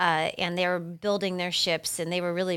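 In an ordinary speaking voice, a woman with an American accent talks at a fairly quick pace in a fairly low pitch on a very clean recording with a silent background. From Massachusetts. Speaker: solo travel expert and podcast host. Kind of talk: casual interview.

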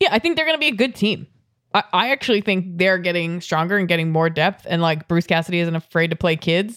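Using an unremarkable speaking voice with an American accent, a woman talks at a fairly quick pace in a medium pitch with lively intonation, recorded very cleanly over a silent background. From New England, Boston area. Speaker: sports podcast co-host. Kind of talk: casual chat.

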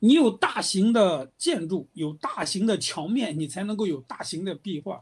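Using very wide pitch swings, a man speaks at a moderate pace. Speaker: art and design history professor. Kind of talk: interview.

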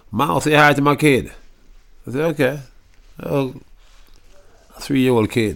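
A man speaks at a moderate pace, his pitch medium and its variation ordinary. There is vocal fry, and his pauses are long and frequent. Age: 30s. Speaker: musician. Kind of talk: interview. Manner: casual, laughing.

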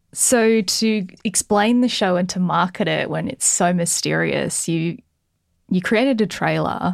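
Here a woman speaks with an Australian accent. The recording is very clean, with a silent background. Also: medium pitch for a woman, ordinary pitch variation, fairly slow pace. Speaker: podcast host. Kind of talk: casual chat interview. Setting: studio.

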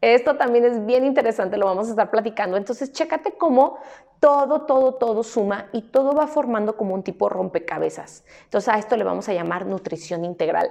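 A woman with a Mexican accent talks at a fairly quick pace in a fairly high pitch. Her tone is animated and her intonation lively. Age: 30s. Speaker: nutritionist and podcast host. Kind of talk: personal storytelling monologue.

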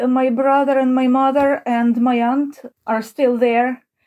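A woman with a high pitch speaks at a fairly slow pace with monotone, flat intonation. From Ukraine. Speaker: Ukrainian emigrant. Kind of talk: interview.

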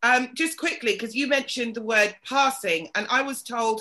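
Against a quiet background, a woman with a British accent talks at a moderate pace, her fairly high voice bright and sharp in tone. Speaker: podcast host. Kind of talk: casual chat. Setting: video call.

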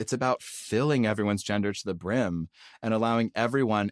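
In a plain, everyday voice with an American accent, the speaker goes at a fairly quick pace with ordinary pitch variation, in a dry, close sound with no echo. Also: man. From US South. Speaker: non-binary writer, actor and producer. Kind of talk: interview conversation.

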